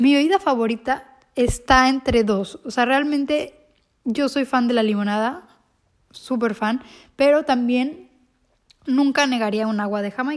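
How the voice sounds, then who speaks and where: High in pitch with ordinary pitch variation, a woman speaks at a fairly slow pace. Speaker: podcaster. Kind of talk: casual monologue.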